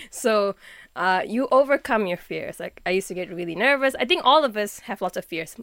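On a very clean recording with a silent background and a dry, close sound with no echo, a woman with a normal speaking voice talks at a fairly quick pace and a fairly high pitch, her intonation lively and her loudness swinging widely. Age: 20s. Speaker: musician and youth movement co-founder. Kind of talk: interview.

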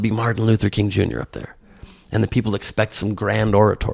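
Someone with an American accent talks at a fairly quick pace with vocal fry. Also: man. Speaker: comedian and presidential candidate. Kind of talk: interview.

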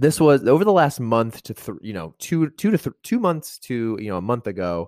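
A man talks in a plain, everyday voice at a moderate pace with lively intonation. The recording is very clean and dry, close with no echo and a silent background. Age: 20s. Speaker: finance podcast host. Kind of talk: solo podcast monologue. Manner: casual, many fillers.

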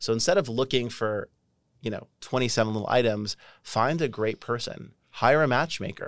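An unremarkable speaking voice from a man, medium in pitch, at a moderate pace with ordinary pitch variation, in a very clean recording over a silent background. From Canada. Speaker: dating company founder. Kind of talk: interview conversation.

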